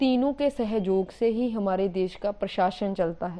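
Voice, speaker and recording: A woman talks in a dark, mellow tone with a slight Punjabi accent. Her pitch is medium, with ordinary variation. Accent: slight Punjabi touch in Hindi. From Punjab, India. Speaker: teacher. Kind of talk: lecture. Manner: halting, self-correcting.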